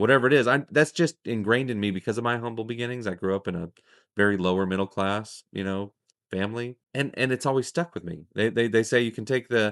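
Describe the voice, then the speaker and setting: A man at a very fast pace and medium pitch, with ordinary pitch variation, in a dry, close sound with no echo and a quiet background. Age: 30s. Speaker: podcast host. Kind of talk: casual interview. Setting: outdoors at guest's property.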